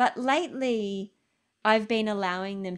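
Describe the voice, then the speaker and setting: An unremarkable speaking voice goes at a moderate pace with ordinary pitch variation. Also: woman. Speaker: health journalist and documentary filmmaker. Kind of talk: Q&A answer in online interview. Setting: online video call, lockdown.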